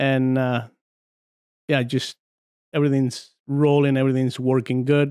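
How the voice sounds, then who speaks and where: Speaking in a Spanish accent, the voice has a dark, mellow tone and monotone, flat intonation. It moves at a fairly slow pace with long, frequent pauses. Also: man, medium pitch for a man. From Argentina, San Juan. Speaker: former arm wrestler. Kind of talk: casual podcast interview.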